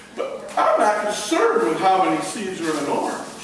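A man's high-pitched voice in a room with strong echo, with light background noise. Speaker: evangelist and gospel magician. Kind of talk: children's ministry talk with magic demonstration. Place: hall. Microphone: camera far.

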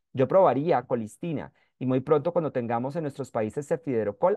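A man with a normal speaking voice at medium pitch, moderate pace and ordinary pitch variation. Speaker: microbiology professor. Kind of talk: webinar lecture.

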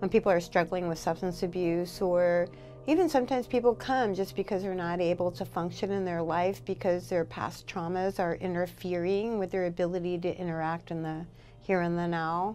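Over faint background music, a woman speaks at a fairly low pitch with ordinary pitch variation. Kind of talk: interview answer. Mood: earnest, personal story. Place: office.

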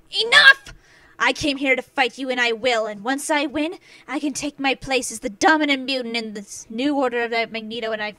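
This female-sounding put-on character voice sits at a high pitch and moves at a fairly quick pace. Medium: audio drama. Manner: commanding, aggressive.

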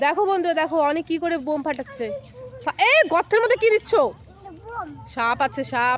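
With an animated tone and very wide pitch swings, a woman speaks over noticeable background noise. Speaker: family vlogger. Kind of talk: casual vlog narration to viewers and children. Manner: animated, repetitive calling.

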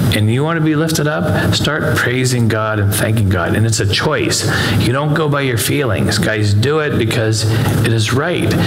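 Loud background noise surrounds a man who talks at a moderate speed. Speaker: pastor teaching. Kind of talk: sermon. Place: church. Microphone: headset.

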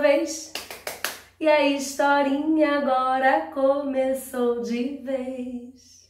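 Audible room echo surrounds a woman's high-pitched voice. The background is quiet. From Rio de Janeiro, Brazil. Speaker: teacher and storyteller; teacher, storyteller. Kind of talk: storytelling for children. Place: home room. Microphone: camera far.

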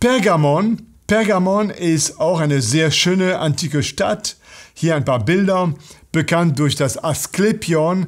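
Against a quiet background, the speech proceeds at a very slow pace with very even loudness and ordinary pitch variation. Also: man, high pitch for a man. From France. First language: French (speaking German). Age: 60s. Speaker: pastor. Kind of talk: bible teaching talk; lecture. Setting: online video. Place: studio.

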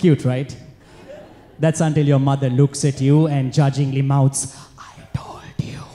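Music plays in the background as a man speaks at a fairly slow pace. His fairly high pitch stays monotone, with flat intonation. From Sri Lanka. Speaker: stand-up comedian. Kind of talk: stand-up comedy set. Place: stage. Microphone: handheld.

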